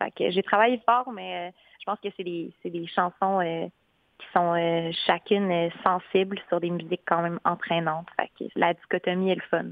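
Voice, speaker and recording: A woman's fairly low-pitched voice, an ordinary speaking voice, with ordinary pitch variation and a moderate pace. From Quebec, West Island of Montreal. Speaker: singer-songwriter. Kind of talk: radio interview.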